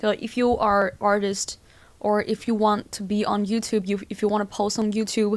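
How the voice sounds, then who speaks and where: A woman speaks at a moderate pace with a non-native accent. Her medium-pitched voice is monotone and flat. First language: not English. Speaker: music producer and vlogger. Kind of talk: vlog talking to camera. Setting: filming alone to camera. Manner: halting, with false starts.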